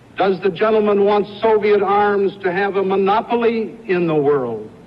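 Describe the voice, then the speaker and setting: A high-pitched man's voice with ordinary pitch variation, amid noticeable background noise. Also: moderate pace. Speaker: politician. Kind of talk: campaign speech.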